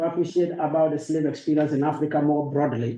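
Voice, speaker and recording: A dark, mellow voice with a Ghanaian accent speaks at a moderate pace. The room echo is audible. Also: man. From northern Ghana. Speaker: university professor. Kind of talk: academic lecture. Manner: hesitant fillers.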